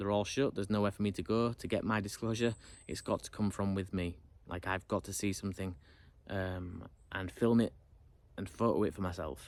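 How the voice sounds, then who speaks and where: A man talks with a British accent at a fairly quick pace. His pitch is fairly low and his intonation fairly even. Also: very clean recording, silent background. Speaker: YouTuber. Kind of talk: casual monologue to camera. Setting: alone in front of camera. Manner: fast; unrehearsed, hesitant.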